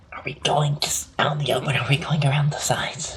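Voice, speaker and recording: This is a put-on character voice in a whisper. The pace is very fast. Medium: actual play. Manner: dry, teasing.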